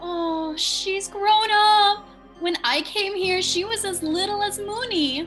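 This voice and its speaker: Over clear music in the background, a female-sounding voice puts on a character voice with an extremely high pitch at a fairly slow pace. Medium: stage play.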